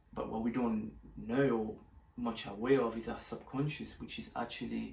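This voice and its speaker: A man talks at a fairly slow pace, and audible room echo surrounds his voice. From Mauritius. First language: French / Mauritian Creole. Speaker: video blogger. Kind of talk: casual monologue to camera. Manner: hesitant, many fillers.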